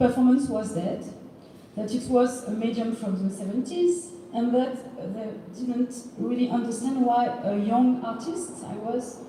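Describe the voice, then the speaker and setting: In a French accent, a woman speaks with a high pitch. Noticeable background noise and audible room echo fill the recording. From France. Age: 40s. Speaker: performance artist. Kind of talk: panel discussion. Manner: halting, many hesitations.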